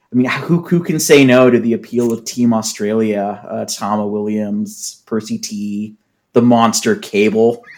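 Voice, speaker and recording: A man with an American accent has an ordinary speaking voice at a medium pitch. He talks at a fairly slow pace with ordinary pitch variation. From US Pacific Northwest, Seattle. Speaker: wrestling podcast co-host. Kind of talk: casual chat.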